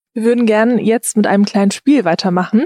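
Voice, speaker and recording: Dry and close with no echo, a woman's voice has a dark, mellow tone and fairly even intonation. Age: 20s. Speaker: podcast host. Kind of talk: interview.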